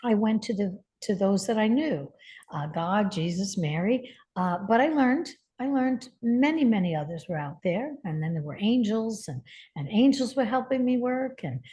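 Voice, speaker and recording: A woman speaks at a fairly high pitch with a somewhat breathy, dark, mellow tone. Her pitch swings very widely against a quiet background. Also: moderate pace. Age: 70s. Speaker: spiritual healer and teacher. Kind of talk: interview conversation.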